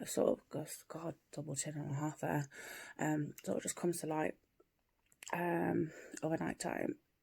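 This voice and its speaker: A soft-spoken woman talks with an English accent at a moderate pace. Her speech has long, frequent pauses. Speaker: vlogger. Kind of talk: casual vlog monologue. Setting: at home, early morning. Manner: soft-spoken, quiet; hesitant, many fillers.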